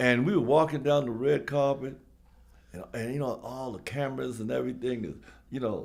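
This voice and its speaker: The speaker talks at a fairly quick pace in a New York accent, with ordinary pitch variation. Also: man, medium pitch for a man. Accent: New York City. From New York, South Bronx. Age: 70s. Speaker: former basketball player. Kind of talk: casual storytelling interview. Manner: halting, many fillers.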